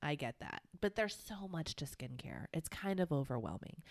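With a dry, close sound and no echo, a woman is heard talking. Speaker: podcast co-host. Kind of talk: casual chat. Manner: quiet.

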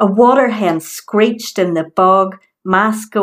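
Quiet background, ordinary pitch variation, and a natural reading voice

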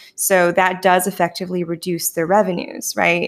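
A woman talks at a moderate pace. She has a slight Canadian accent. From Canada. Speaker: podcast host, former data scientist. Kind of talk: casual interview.

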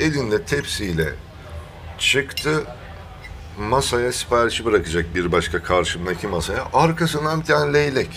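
A man talks at a fairly slow pace with a fairly low pitch and very wide pitch swings. Noticeable noise sits in the background. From Thrace, Turkey. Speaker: podcast co-host. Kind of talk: casual chat.

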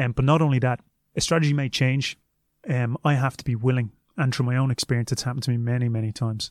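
A man with a Dublin accent talks at a very fast pace and medium pitch. The intonation is fairly even, and the sound is dry and close with no echo. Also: very even loudness. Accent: Irish (Dublin). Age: 30s. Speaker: martial arts coach and former kickboxing champion. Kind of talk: interview.

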